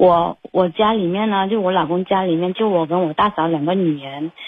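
A woman's voice at a fairly low pitch, moderate in pace, with fairly even intonation. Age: 30s. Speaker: caller. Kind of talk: personal problem call-in. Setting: phone call. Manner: halting, hesitant.

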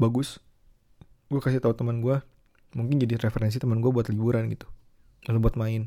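A man with a dark, mellow tone and a medium pitch speaks at a fairly quick pace, and the sound is dry and close with no echo. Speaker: podcaster. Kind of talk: casual solo talk.

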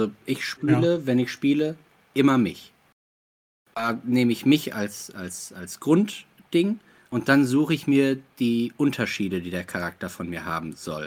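A man's medium-pitched voice at a fairly slow pace, with very wide pitch swings and big swings in loudness. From Ruhr area, Germany. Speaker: actor and game master. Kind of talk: casual chat.

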